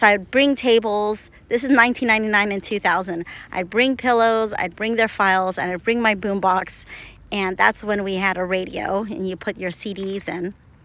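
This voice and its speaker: A woman talks at a moderate pace with fairly even intonation in a normal speaking voice. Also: medium pitch for a woman, quiet background. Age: 50s. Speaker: acupuncturist. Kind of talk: casual video monologue. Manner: conversational, with fillers and restarts.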